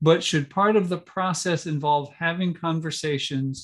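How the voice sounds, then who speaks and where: This man has a fairly high pitch and a normal speaking voice. He moves at a moderate pace with ordinary pitch variation. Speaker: church official; webinar host or presenter. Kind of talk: workshop hosting. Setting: video call. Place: home room. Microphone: video call.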